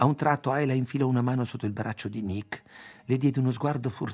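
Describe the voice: Here is plain reading aloud. The pitch variation is ordinary.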